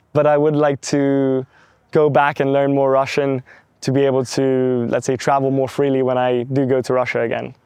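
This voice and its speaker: Keeping very even loudness, a man talks at a moderate pace and medium pitch with monotone, flat intonation. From London, England. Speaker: entrepreneur. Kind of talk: interview. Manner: hesitant with fillers.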